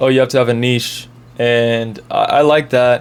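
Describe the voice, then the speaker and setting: Moderately paced speech comes from a man at a medium pitch. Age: 20s. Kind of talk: testimony. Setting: sitting down talking to camera. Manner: casual, hesitant with many fillers.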